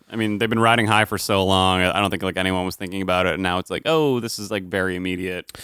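Very deep and low in pitch yet bright and sharp in tone, a man speaks at a very fast pace with fairly even intonation and hardly any pauses. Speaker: podcast host. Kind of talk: casual banter between two co-hosts. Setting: studio.

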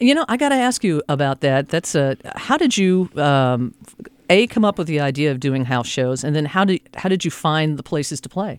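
In a dry, close sound with no echo, a man with a plain, everyday voice talks at a moderate pace and a fairly high pitch with lively intonation. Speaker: radio host. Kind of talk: radio interview. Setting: studio.

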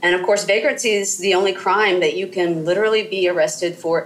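Over noticeable background noise, the speaker talks with an American accent at a fairly quick pace, with hardly any pauses, very even loudness and fairly even intonation. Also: woman. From US South, southern Mississippi. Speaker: historian. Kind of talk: interview. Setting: call. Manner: halting, many fillers.

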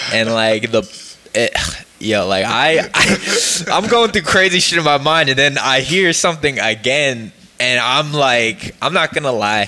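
With an American accent, a man speaks at a fairly slow pace with hardly any pauses, his fairly high pitch carrying lively intonation. Noticeable background noise sits behind him. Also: very even loudness. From northeastern Pennsylvania (Poconos). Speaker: podcast host. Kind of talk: casual chat.

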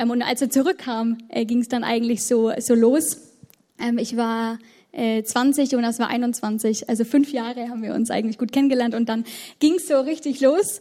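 At a moderate pace, a woman talks in a high pitch with a dark, mellow tone and ordinary pitch variation. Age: 20s. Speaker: bank clerk, church member. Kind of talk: panel talk, personal sharing. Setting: church stage with audience.

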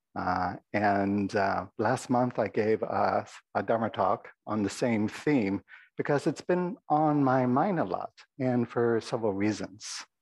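A soft-spoken man with a fairly low pitch, a slightly mellow tone and vocal fry talks at a fairly slow pace with ordinary pitch variation.

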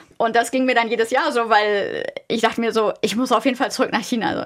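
A woman talks at a very fast pace. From Germany. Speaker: business ethics researcher. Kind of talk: interview.

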